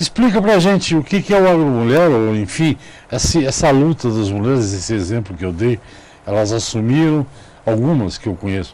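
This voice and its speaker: Moving at a moderate pace, a man speaks at a medium pitch that swings very widely. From Brazil, São Paulo city. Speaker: TV interviewer. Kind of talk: interview. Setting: studio.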